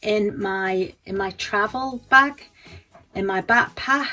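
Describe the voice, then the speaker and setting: A woman with an English accent and lively intonation. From England. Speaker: beauty vlogger. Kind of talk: casual tutorial vlog. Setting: home bedroom. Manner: halting, many fillers and repeats.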